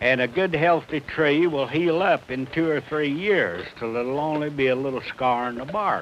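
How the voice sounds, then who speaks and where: A man with a southern Illinois accent speaks at a moderate pace with hardly any pauses, his fairly high pitch showing ordinary pitch variation. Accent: southern Illinois rural American. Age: 70s. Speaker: farmer. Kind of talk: documentary reminiscence.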